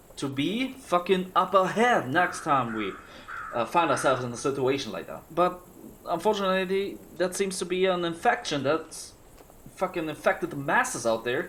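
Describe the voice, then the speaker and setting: With lively intonation and a bright, sharp tone, a man speaks in a high pitch at a moderate pace. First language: German. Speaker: streamer and former esports caster. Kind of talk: livestream monologue. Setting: livestream. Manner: halting.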